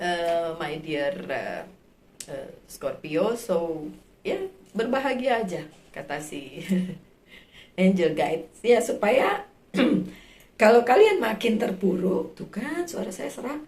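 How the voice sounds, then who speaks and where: A woman with a medium pitch talks at a very slow pace, her voice somewhat breathy, with very wide pitch swings and big swings in loudness. Long, frequent pauses break up her speech, and room echo can be heard. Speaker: tarot reader. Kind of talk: tarot reading for viewers. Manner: casual, with many fillers.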